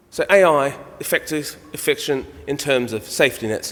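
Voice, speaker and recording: Music plays in the background as a man talks in a fairly high voice. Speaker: radiographer speaker at conference. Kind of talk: conference talk and Q&A answer.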